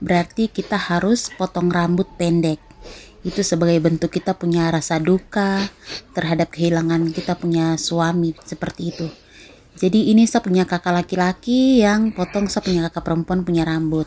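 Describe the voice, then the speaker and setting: Dry, close sound with no echo, a moderate pace and fairly even intonation. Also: woman, fairly low pitch for a woman. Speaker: vlogger. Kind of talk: vlog narration. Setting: outdoors at a beach.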